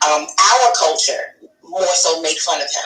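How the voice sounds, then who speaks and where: Someone with an American accent speaks over music in the background. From New York and New Jersey. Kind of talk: casual chat. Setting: live streamed talk show.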